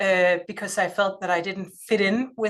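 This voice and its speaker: This is a woman speaking with a Danish accent. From Denmark. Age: 40s. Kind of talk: lecture. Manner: loud; halting.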